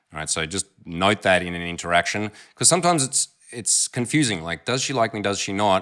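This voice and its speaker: Recorded very cleanly against a silent background, a man with an Australian accent and a bright, sharp tone speaks at a fairly quick pace. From Australia, Melbourne. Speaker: dating coach. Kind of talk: commentary on recorded pickup interaction. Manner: casual.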